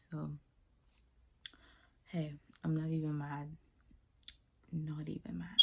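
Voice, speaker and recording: Here is a woman talking. She is soft-spoken. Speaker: beauty vlogger. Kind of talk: casual hair tutorial vlog. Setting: at home late at night. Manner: hushed, soft-spoken.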